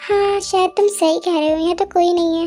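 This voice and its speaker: A squeaky put-on character voice from a woman, extremely high in pitch, very fast and monotone in intonation. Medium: read story. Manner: sugary, casual.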